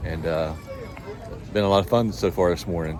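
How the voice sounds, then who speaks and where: With noticeable background noise, a man talks at a fairly quick pace. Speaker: outdoor vlogger. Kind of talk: vlog narration.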